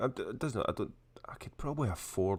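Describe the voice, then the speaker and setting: A man talks with a Scottish accent. The recording is very clean, with a silent background. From Scotland. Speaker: vape show co-host. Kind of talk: casual chat. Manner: halting.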